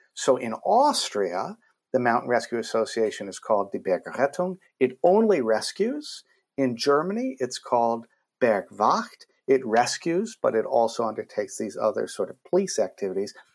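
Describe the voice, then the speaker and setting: On a very clean recording with a silent background, a man is speaking. He talks at a moderate pace with an American accent. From United States. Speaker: law professor and filmmaker. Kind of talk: interview conversation.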